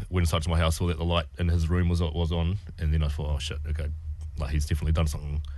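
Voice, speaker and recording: A man speaks with a New Zealand accent and a very deep, low pitch. His intonation is flat and monotone. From New Zealand, Wellington. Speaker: comedian and actor. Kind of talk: personal testimony in radio interview. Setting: radio studio.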